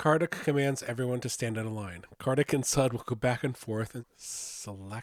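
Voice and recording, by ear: This is reading aloud in a natural voice. The text is read out.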